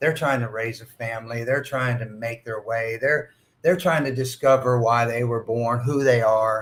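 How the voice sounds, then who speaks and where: In an ordinary speaking voice, a man talks at medium pitch and a moderate pace with fairly even intonation. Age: 60s. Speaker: school facility manager. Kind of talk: podcast interview. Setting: at a conference.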